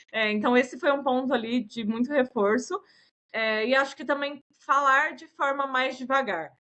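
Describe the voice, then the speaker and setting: A woman speaks at a high pitch with ordinary pitch variation and big swings in loudness. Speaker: product manager and instructor. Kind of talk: podcast interview. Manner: fast.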